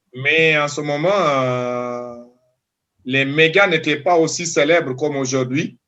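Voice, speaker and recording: Using a Senegalese accent, a man talks at a very slow pace in a fairly high pitch with ordinary pitch variation. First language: Diola (speaking French). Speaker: doctoral student. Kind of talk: interview. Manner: halting.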